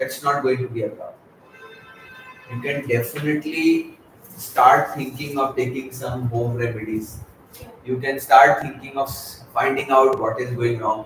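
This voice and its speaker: Soft-spoken and moderately paced, a man talks with fairly even intonation and long, frequent pauses over noticeable background noise. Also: medium pitch for a man. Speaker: gastroenterologist. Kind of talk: interview answer.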